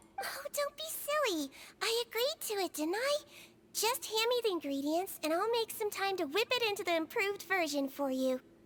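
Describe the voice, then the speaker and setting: Putting on a character voice, a woman speaks at an extremely high pitch with very wide pitch swings. She holds a moderate pace. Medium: video game. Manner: soft-spoken, gentle.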